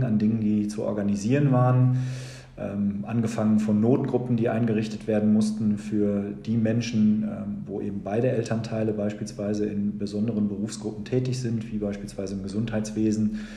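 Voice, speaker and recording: With audible room echo and noticeable background noise, a man speaks at a fairly quick pace with hardly any pauses, using a fairly low pitch and fairly even intonation. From Germany, Sauerland (Lüdenscheid). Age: 40s. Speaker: school principal and mayoral candidate. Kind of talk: podcast interview.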